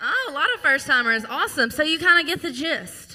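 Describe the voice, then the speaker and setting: A woman's bright, sharp voice with lively intonation and a strong Louisiana accent. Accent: thick Louisiana Southern. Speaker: singer-songwriter and show host. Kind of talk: live stage banter. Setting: stage with audience.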